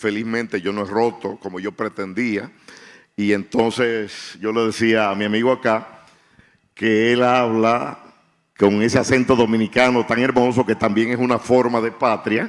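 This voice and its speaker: Over a very clean recording with a silent background, a man speaks at medium pitch and a moderate pace with fairly even intonation. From Dominican Republic (Santiago). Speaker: writer. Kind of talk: panel discussion. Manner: halting.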